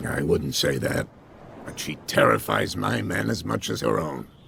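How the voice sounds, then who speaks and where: Putting on a character voice, a man speaks at a moderate pace with a raspy, very deep, low tone and lively intonation over clear background noise. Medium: video game. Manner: friendly but evasive.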